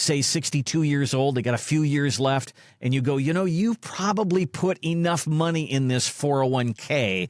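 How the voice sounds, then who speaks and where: A man with an unremarkable speaking voice talks at a moderate pace, his pitch fairly high and his intonation lively. The recording is very clean and dry, close with no echo, against a silent background. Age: 60s. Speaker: podcast co-host. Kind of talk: casual chat.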